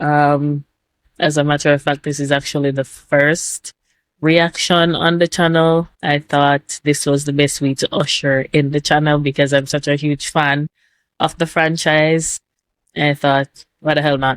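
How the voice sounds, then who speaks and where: With a Jamaican accent, a woman speaks at a fairly slow pace in a very deep, low pitch, her intonation monotone and flat and her loudness very even, the sound dry and close with no echo. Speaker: YouTube reactor. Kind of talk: casual video intro to camera. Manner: frequent filler words, rambling.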